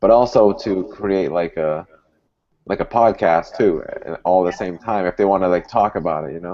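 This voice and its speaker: A man talks at a moderate pace with a Boston accent. His pitch is very deep and low, and his intonation stays fairly even. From Boston area. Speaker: dental hygienist and podcast host. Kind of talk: casual chat.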